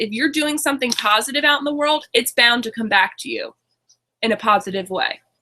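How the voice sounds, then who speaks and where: The voice is raised and projected, moving at a fairly quick pace with lively intonation. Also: woman. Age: 20s. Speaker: online business coach. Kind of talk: webinar presentation. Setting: webinar. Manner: halting.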